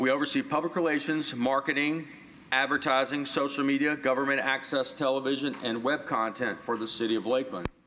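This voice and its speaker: Noticeable background noise sits behind a man's fairly high voice. His intonation stays fairly even. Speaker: city communications director. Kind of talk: presentation. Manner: loud.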